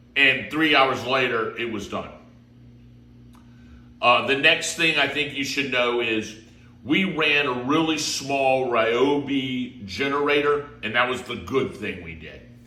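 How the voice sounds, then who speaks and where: A man with an American accent at a fairly slow pace, with noticeable background noise. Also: medium pitch for a man, ordinary pitch variation. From Florida. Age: 50s. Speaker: real estate agent. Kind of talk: casual talk to camera.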